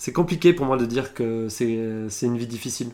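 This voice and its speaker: A man with a plain, everyday voice speaks at a moderate pace and medium pitch, his intonation fairly even. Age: 30s. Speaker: apprentice market gardener. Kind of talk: interview. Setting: on the farm.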